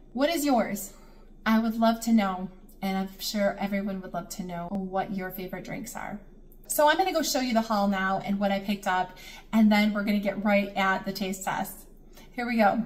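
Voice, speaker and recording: Ordinary pitch variation runs through this somewhat breathy voice. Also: woman, moderate pace. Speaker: home vlogger. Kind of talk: casual vlog chat. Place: kitchen. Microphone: phone near.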